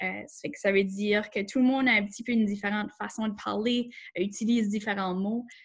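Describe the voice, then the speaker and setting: This woman's voice is fairly high and somewhat breathy, with fairly even intonation. Her loudness rises and falls a lot, and the recording is very clean with a silent background. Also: fairly quick pace. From Acadia, southeast New Brunswick. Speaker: workshop host. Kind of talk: panel discussion.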